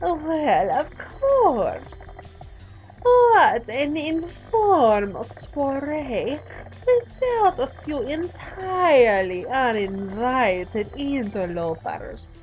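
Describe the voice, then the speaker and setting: Over clear music in the background, a woman puts on a character voice, high in pitch and very slow in pace. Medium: solo performance. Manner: purring, arch, theatrical.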